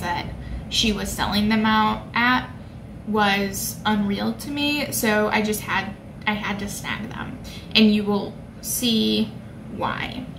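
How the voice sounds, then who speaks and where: Background noise is noticeable. A woman talks over it. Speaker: beauty vlogger. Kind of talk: casual vlog chat. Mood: cheerful, chatty. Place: home room. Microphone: phone near.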